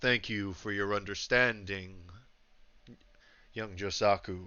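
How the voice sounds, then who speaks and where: A man puts on a character voice that is raspy and fairly low in pitch. His intonation stays monotone and flat. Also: fairly slow pace. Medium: actual play. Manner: polite, respectful.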